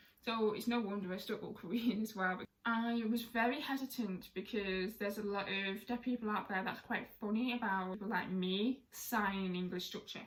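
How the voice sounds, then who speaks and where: At a moderate pace and medium pitch, a woman talks with fairly even intonation and hardly any pauses over noticeable background noise. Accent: British. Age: 20s. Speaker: deaf sign language content creator. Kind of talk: casual talk to camera.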